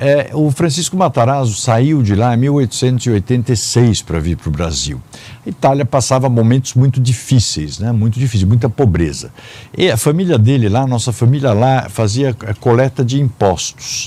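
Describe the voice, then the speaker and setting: Lively intonation marks a man's dark, mellow voice, pitched medium and delivered at a moderate pace. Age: 60s. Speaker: businessman and public administrator. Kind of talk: interview. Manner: hesitant fillers.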